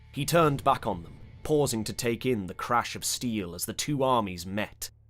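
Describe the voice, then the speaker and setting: Lively intonation at a moderate pace, with music in the background. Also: man. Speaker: audiobook narrator. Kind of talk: audiobook narration of fantasy fiction.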